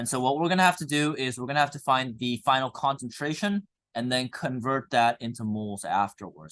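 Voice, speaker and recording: Against a quiet background, a man speaks with a Korean accent at a medium pitch. His pace is fairly quick, and his intonation is lively. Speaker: high school chemistry teacher. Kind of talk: classroom lecture. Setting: classroom with students. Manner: casual, filler-heavy.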